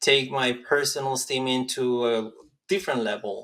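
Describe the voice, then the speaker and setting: A man speaks with a Spanish accent. His pitch sits in the medium range. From rural Mexico. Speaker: medical school applicant. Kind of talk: interview.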